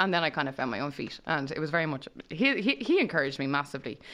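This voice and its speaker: A woman talks at a very fast pace in an Irish accent. Her voice is very deep and low. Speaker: radio DJ. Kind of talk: casual chat. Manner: fast talker.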